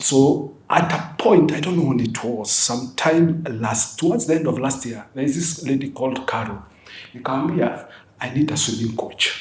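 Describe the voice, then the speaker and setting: Over noticeable background noise and audible room echo, a man with a Kenyan accent speaks at a fairly high pitch with ordinary pitch variation. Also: moderate pace. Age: 60s. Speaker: retired army officer and endurance athlete. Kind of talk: casual interview.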